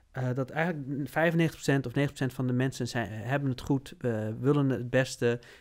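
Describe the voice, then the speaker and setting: The voice keeps a fairly even intonation over a quiet background. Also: man. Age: 40s. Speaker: business consultant; podcast host or guest. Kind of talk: casual chat. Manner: halting. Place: studio. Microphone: studio mic.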